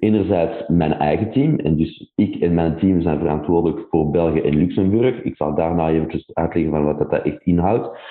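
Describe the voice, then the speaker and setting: Speaking at a moderate pace with hardly any pauses, a man uses a very deep, low pitch, ordinary pitch variation and very even loudness. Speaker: tech company country director. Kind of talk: interview. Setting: remote call.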